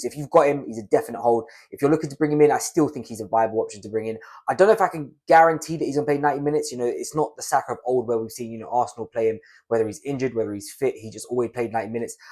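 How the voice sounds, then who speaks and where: Speaking very fast, a man with a British accent uses a medium-pitched voice. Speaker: fantasy football youtuber. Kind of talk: casual talking-head tutorial.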